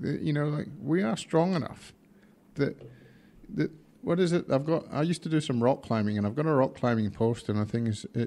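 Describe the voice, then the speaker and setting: This voice has a dark, mellow tone and lively intonation. It speaks with a Scottish accent. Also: man. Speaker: drag racing team manager. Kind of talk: podcast interview answer.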